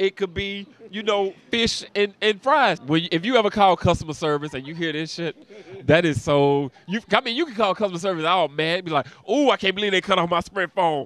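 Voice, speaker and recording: A man with a high pitch sounds animated, his intonation lively. He talks at a fairly quick pace in a dry sound with no echo. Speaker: comedian; comedian interview guest. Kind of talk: casual interview with comic bits. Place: street. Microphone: handheld.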